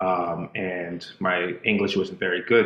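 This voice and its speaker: A man speaks with a Spanish accent in a very deep, low pitch. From Boston, Massachusetts; Dominican family. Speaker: dancer and choreographer. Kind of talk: casual interview chat. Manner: halting, many fillers.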